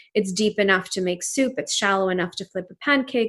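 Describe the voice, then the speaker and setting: With a Pakistani accent, this voice moves at a moderate pace with ordinary pitch variation over a quiet background. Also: woman. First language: Urdu. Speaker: entrepreneur. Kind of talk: interview.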